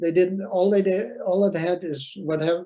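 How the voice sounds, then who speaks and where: Dark and mellow in tone, the man's voice sits high in pitch and shows ordinary pitch variation. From Netherlands. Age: 80s+. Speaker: Holocaust survivor speaker. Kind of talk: testimony. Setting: video call. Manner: halting.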